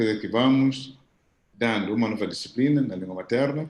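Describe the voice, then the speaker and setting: A man talks with ordinary pitch variation. He has a plain, everyday voice. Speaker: professor. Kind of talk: audience question at video conference.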